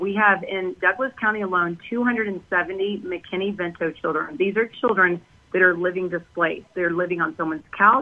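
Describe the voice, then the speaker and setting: With an American accent, a woman speaks in a plain, everyday voice at medium pitch, keeping a moderate pace and fairly even intonation. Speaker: healthcare worker and parent activist. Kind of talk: radio interview.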